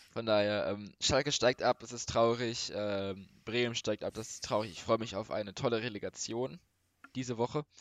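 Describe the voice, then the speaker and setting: A man speaks in an ordinary speaking voice at a medium pitch and moderate pace. His intonation stays fairly even while his loudness swings widely. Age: young. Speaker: football podcast co-host. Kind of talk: casual chat.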